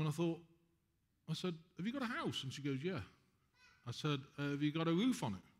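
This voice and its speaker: A man with a British accent, very fast pace, lively intonation and long, frequent pauses. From England. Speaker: spiritual healer. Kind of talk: talk to an audience. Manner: animated.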